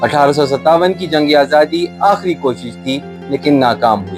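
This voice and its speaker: A man's medium-pitched voice with very wide pitch swings, over music in the background. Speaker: professional voice-over artist and storyteller. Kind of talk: documentary historical narration. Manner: emotive, dramatic.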